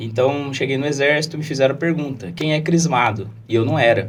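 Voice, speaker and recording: Somewhat breathy, a man with a fairly high pitch talks at a moderate pace. Audible room echo surrounds his voice. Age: 20s. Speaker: lawyer and political candidate. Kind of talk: podcast interview.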